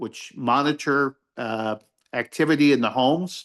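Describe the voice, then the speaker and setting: Fairly high in pitch, a man speaks at a fairly slow pace with a bright, sharp tone and ordinary pitch variation. The sound is dry and close with no echo against a quiet background. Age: 60s. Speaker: university faculty member teaching aging services. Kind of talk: info session presentation. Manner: casual, with fillers and repetitions.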